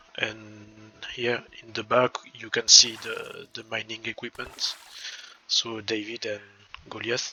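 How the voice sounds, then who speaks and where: Speaking very slowly with a French accent, a man swings widely in loudness over noticeable background noise. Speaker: gaming YouTuber. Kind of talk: game tutorial. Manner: hesitant, repeats words.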